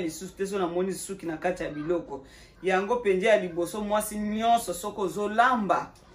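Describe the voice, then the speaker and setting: A woman's voice at a fairly quick pace, with ordinary pitch variation. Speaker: channel host. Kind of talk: cooking tutorial. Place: kitchen. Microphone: phone near.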